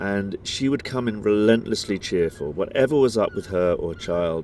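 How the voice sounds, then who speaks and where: In a British accent, a man speaks with a very deep, low pitch and ordinary pitch variation. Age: 40s. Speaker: podcast co-host. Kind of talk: casual chat. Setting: outdoors.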